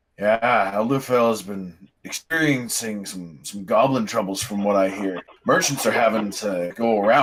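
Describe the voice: Putting on a gruff character voice, a man speaks at a moderate pace and a fairly low pitch.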